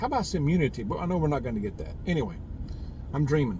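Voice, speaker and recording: Over noticeable background noise, a man with an American accent talks with lively intonation. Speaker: prepper vlogger. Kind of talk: casual monologue vlog. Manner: halting, repetitive fillers.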